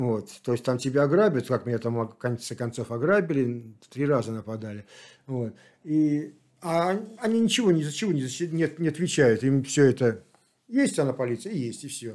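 Over a silent background on a very clean recording, a man with a medium pitch uses lively intonation in an ordinary speaking voice. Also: moderate pace. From Saint Petersburg, Russia. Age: 60s. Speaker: long-distance walker. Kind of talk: interview. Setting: in Kislovodsk.

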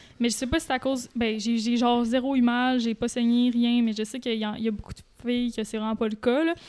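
A woman speaks with a Quebec accent at a high pitch. Her intonation is fairly even, and the recording is very clean with a silent background. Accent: Québécois French. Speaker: YouTuber. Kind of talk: casual chat.

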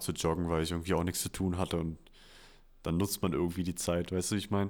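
Very deep, low male speech, captured in a very clean recording against a silent background. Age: young. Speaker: podcast co-host, university student. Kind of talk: casual chat. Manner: animated.

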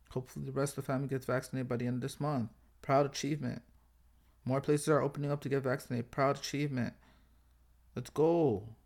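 In a very clean recording with a silent background, a man speaks very fast in a monotone, flat intonation. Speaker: podcast host. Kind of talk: casual solo monologue.

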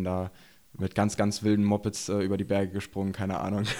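A plain, everyday voice speaks at a moderate pace in a very clean recording with a silent background. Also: man. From eastern Germany, Burg near Magdeburg, Saxony-Anhalt. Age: 20s. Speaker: enduro rider and YouTuber. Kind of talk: casual chat. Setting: studio.

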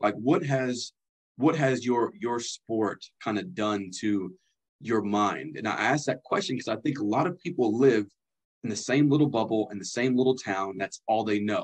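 At a moderate pace, a speaker uses a normal speaking voice with ordinary pitch variation. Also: man, medium pitch for a man. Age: 30s. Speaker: podcast host. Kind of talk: interview.

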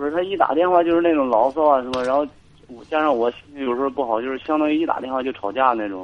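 Talking at a very fast pace, a man uses a medium pitch. His pitch variation is ordinary. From rural China. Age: 20s. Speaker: caller, soldier. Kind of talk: call-in radio advice.

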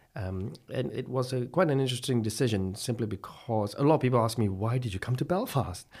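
A man with a medium-pitched, somewhat breathy voice speaks at a fairly quick pace with hardly any pauses and ordinary pitch variation. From Malaysia. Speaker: plastic surgeon. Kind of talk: interview. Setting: studio.

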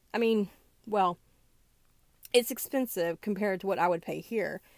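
With a Southern US accent, a woman speaks at a medium pitch and a moderate pace, with ordinary pitch variation. The sound is dry and close with no echo, in a very clean recording with a silent background. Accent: Southern American. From US South. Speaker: podcast host. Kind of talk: casual monologue. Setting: recording in a closet. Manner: hesitant, many fillers.

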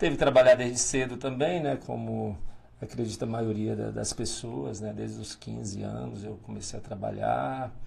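A man's loudness swings widely as he talks at a moderate pace, with noticeable background noise behind him. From Tocantins, Brazil (north-central). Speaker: mayor, former police officer. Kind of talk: interview. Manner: hesitant, many fillers.

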